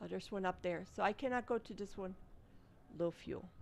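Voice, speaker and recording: A woman with a German accent talks in a relaxed tone at a medium pitch with ordinary pitch variation. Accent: German accent, non-native pronunciation. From Germany. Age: old. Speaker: gaming streamer. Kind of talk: live gameplay commentary. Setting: live stream. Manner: relaxed, casual.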